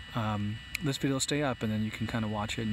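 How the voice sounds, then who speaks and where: Amid noticeable background noise, a man speaks at a medium pitch. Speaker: drone YouTuber. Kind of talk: live stream chat. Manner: halting.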